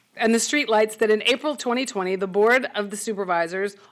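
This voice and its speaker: A woman's fairly high voice at a fairly quick pace with ordinary pitch variation. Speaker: substitute teacher speaking at public comment. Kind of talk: public comment at county meeting. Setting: public meeting hall. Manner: loud; reading prepared statement.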